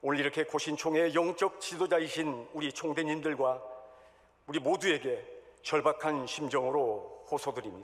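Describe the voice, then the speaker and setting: A man speaks in a normal speaking voice at a fairly high pitch. He keeps a moderate pace and ordinary pitch variation. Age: 60s. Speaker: church elder, candidate for denominational office. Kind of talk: election campaign speech. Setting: church hall assembly. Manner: formal.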